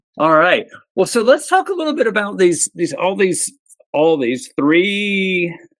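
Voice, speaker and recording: Speaking at a fairly slow pace, a high-pitched man with an American accent swings his pitch very widely. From US South, South Georgia. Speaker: podcast host, cyclist. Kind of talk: interview. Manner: casual, hesitant with repetitions.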